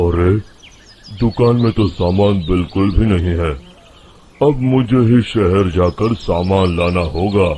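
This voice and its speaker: A man's rumbling put-on character voice, very deep and low in pitch, at a fairly slow pace with very even loudness. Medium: cartoon. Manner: grumbling.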